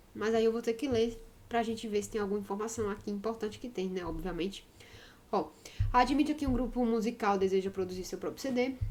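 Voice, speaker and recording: A woman's fairly high voice with ordinary pitch variation at a fairly quick pace, amid audible room echo and noticeable background noise. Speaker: math teacher. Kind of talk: lecture. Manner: fast; animated.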